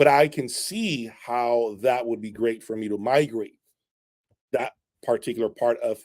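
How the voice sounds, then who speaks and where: A man with a Spanish accent, animated in tone, at a moderate pace. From Latin American, Spanish-speaking. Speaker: audio equipment reviewer. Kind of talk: live stream chat.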